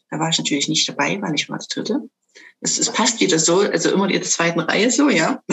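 Very fast and fairly low-pitched, a woman's voice moves through very wide pitch swings. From Saxony, Dresden (eastern Germany). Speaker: sound bowl coach. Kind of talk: interview.

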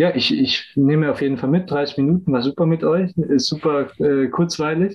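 Fairly high in pitch, a man with an unremarkable speaking voice talks at a moderate pace with ordinary pitch variation, very even loudness and hardly any pauses. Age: 20s. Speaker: business student and agile coach. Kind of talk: casual interview chat.

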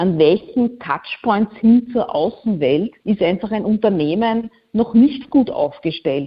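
Very slowly and somewhat breathily, a woman speaks in a fairly high voice that swings very widely in pitch. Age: 40s. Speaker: communications consultant. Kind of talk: interview.

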